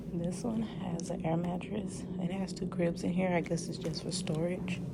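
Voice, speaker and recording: Someone whispers at a moderate pace. Audible room echo and noticeable background noise fill the recording. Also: woman. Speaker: nursing student and patient care tech vlogger. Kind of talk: casual vlog. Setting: hospital. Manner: whispering.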